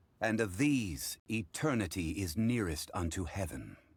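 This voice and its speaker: A man's put-on character voice, fairly low in pitch, at a moderate pace in a very clean recording with a silent background. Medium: video game. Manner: measured, formal, unhurried.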